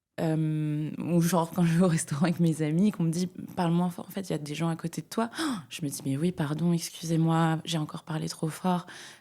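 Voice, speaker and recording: On a very clean recording with a silent background, a woman with a fairly low pitch and a dark, mellow tone speaks with fairly even intonation. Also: fairly quick pace, hardly any pauses. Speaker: climate media founder and speaker. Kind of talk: interview conversation. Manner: loud; hesitant, many fillers.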